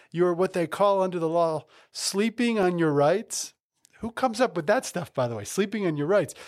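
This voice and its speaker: On a very clean recording with a silent background, a man speaks very fast in a high pitch with very wide pitch swings. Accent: American. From New Jersey. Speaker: lawyer and law firm founder. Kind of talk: casual interview chat.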